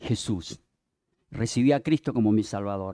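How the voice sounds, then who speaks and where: In a dry, close, very clean recording with no echo and a silent background, a man with a Peruvian accent speaks at a fairly slow pace in a dark, mellow tone with lively intonation. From Peruvian Amazon (Yurimaguas, Pucallpa), then Lima from 14. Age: 60s. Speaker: visiting preacher. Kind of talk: sermon.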